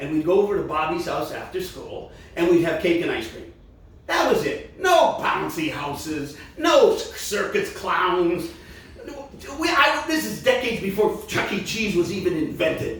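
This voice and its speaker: The speech moves at a moderate pace with big swings in loudness. Noticeable background noise and audible room echo fill the recording. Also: man. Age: 60s. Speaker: singer-songwriter and variety show host. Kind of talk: live comedy variety show. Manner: halting, with many ums and restarts.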